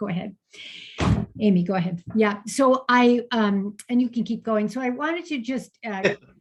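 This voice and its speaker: The voice belongs to a woman. Her pitch variation is ordinary. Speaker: fundraising consultant. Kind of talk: webinar presentation. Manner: fast.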